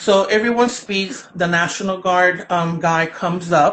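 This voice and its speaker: A woman speaks with a Spanish accent. Her pitch is medium. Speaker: children's book author. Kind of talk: interview. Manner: loud; animated.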